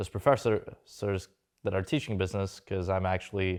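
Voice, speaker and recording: Over a quiet background, a man speaks fairly quickly with a fairly low, monotone, flat delivery. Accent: slight Russian. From Russia, moved to New York at 13. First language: Russian. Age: 20s. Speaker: entrepreneur and stock trader. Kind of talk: casual interview.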